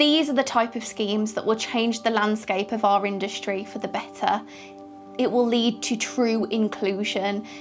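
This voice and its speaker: With music in the background, a woman with a British accent speaks at a moderate pace in a fairly high pitch and fairly even intonation. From United Kingdom. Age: 20s. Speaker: presenter and journalist. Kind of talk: conference speech.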